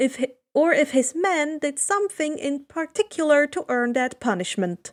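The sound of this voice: With lively intonation and high pitch, a woman speaks at a moderate pace in a dry, close sound with no echo.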